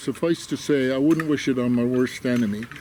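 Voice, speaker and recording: A man's medium-pitched voice, with ordinary pitch variation, competes with noticeable background noise. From Canada. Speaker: war veteran. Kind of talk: interview testimony. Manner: halting.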